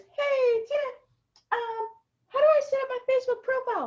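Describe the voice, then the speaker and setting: Someone speaks at a moderate pace in a put-on character voice pitched extremely high. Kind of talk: casual. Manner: put-on, naive, sweet.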